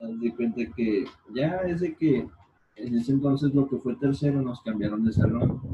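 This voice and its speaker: A man's medium-pitched voice with ordinary pitch variation at a moderate pace. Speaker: podcast co-host. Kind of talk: casual chat.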